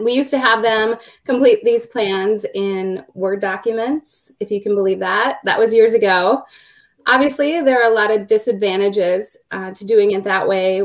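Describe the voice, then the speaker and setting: This speaker has a Minnesota accent, a moderate pace and ordinary pitch variation. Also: woman, fairly high pitch for a woman. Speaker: law firm business development director. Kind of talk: panel webinar discussion.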